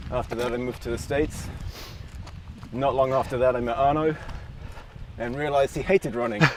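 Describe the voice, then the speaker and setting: With noticeable background noise, a man with an American accent talks at a very fast pace with long, frequent pauses and fairly even intonation. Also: medium pitch for a man. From London, England. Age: 40s. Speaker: runner. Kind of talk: casual chat.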